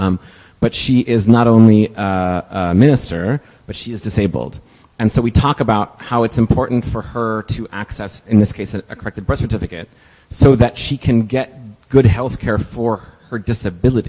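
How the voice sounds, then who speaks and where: Dark and mellow in tone, a man speaks at medium pitch with ordinary pitch variation and big swings in loudness. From Texas. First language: Spanish. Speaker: civil rights lawyer. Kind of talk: conference talk with audience Q&A. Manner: fast; halting, many fillers.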